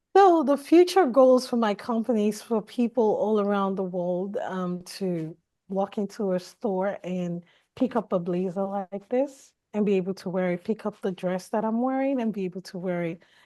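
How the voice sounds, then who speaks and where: Over a quiet background, a woman with a Nigerian accent speaks at medium pitch and moderate pace, her tone dark and mellow and her pitch variation ordinary. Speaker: fashion designer. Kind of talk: interview.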